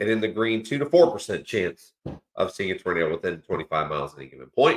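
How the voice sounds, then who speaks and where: A man at a very fast pace, with very wide pitch swings and big swings in loudness. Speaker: weather livestream host. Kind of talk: live weather update. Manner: casual, filler-heavy.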